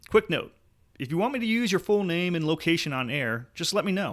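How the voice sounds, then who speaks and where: A man speaks at a fairly quick pace with lively intonation and a high pitch, on a very clean recording with a silent background. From New Jersey-born, raised in US South (North Carolina). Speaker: political podcast host. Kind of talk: podcast monologue. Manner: animated.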